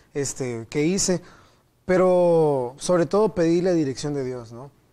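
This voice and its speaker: A man's dark, mellow voice with a Yucatecan accent, fairly high in pitch with ordinary pitch variation, at a fairly slow pace, on a very clean recording with a silent background. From Mexico, Mérida, Yucatán. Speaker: theology student. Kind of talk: Bible study discussion.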